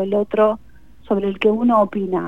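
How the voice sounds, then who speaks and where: A plain, everyday voice from a woman, moderate in pace and fairly high in pitch. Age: 40s. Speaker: novelist. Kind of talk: radio interview.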